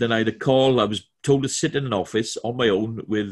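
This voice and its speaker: A man speaks with a Welsh accent at a moderate pace. His pitch varies in an ordinary way, and the background is quiet. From Wales. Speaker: corporate trainer. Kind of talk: webinar presentation. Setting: video call from home. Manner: halting, many fillers and repetitions. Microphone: video call.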